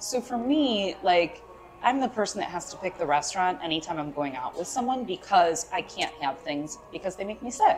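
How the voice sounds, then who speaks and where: At a moderate pace a woman talks, with light background noise present. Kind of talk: interview answer. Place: cafe.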